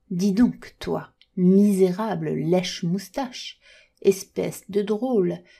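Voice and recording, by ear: Over a quiet background, someone reads aloud in a natural voice with ordinary pitch variation.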